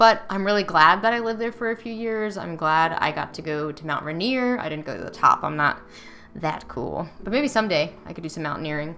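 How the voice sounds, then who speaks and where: A woman speaks with an American accent and lively intonation. Noticeable background noise can be heard. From US Mid-Atlantic, near Washington DC. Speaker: miniature painter and livestreamer. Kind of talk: casual livestream chat while painting. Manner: casual with frequent fillers.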